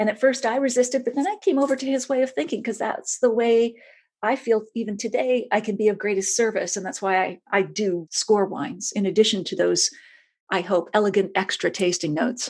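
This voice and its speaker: The voice moves at a fairly quick pace with ordinary pitch variation. The background is quiet. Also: woman, fairly high pitch for a woman. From Canada, small town in Nova Scotia. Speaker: wine writer and critic. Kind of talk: interview, casual conversation. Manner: conversational.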